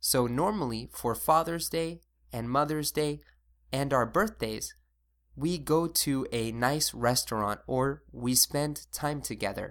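A man with a fairly high pitch speaks in an American accent with an unremarkable speaking voice and ordinary pitch variation. The recording is very clean, with a silent background. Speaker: English teacher, podcast host. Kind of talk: English lesson podcast, bilingual.

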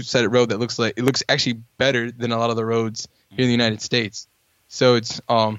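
Words come very fast from a male speaker. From US, Norfolk, Virginia. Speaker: podcast host. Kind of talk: casual chat.

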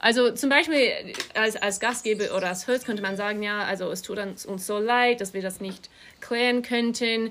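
A woman's fairly high voice stays fairly even in intonation as she talks at a moderate pace. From Australia, Melbourne. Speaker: artist and interior designer. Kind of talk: casual chat. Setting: outdoors on a farm. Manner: halting.

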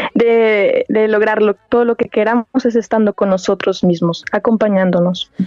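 A plain, everyday voice from a woman, fairly high-pitched, at a moderate pace with fairly even intonation, very even loudness and hardly any pauses. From Mexico, La Piedad, Michoacán. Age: 20s. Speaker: singing student. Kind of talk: interview. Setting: phone call.

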